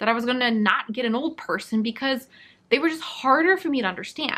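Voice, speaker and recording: Bright and sharp in tone, a woman speaks in a high voice. Her pitch varies in an ordinary way. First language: not Korean or French (learner of both). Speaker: language learning youtuber. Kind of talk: talking-head video monologue.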